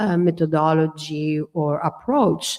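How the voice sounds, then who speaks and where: Very slow and fairly even in intonation, a woman speaks with an Italian accent. Her very deep, low voice has a dark, mellow tone. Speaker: architectural historian. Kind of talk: symposium discussion. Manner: hesitant, many fillers.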